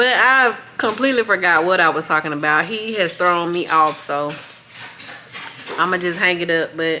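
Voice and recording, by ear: At a moderate pace, a woman speaks with fairly low pitch, ordinary pitch variation and a bright, sharp tone.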